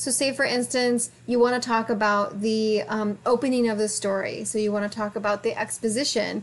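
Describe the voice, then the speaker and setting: Mumbling with hardly any pauses, a woman speaks at a fairly high pitch in a monotone, flat intonation. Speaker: college writing instructor. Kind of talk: lecture. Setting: recorded video for online course. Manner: fast.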